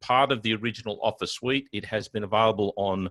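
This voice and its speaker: A man with an Australian accent, dry sound with no echo, quiet background. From Australia, Sydney. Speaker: IT consultant and trainer; guest. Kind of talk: technical tutorial webinar. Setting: video webinar with screen share. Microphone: video call.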